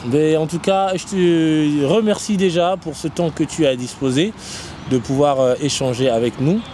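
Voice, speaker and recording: At a fairly slow pace, a man with a fairly high pitch and ordinary pitch variation speaks amid noticeable background noise. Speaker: web show host. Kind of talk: interview. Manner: hesitant, many fillers.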